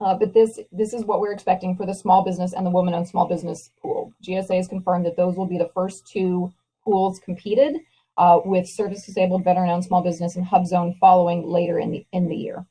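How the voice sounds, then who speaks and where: With a medium pitch and a dark, mellow, somewhat breathy tone, a woman talks very fast in a flat monotone. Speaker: proposal consultant presenting a webinar. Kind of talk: webinar presentation. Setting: online webinar call.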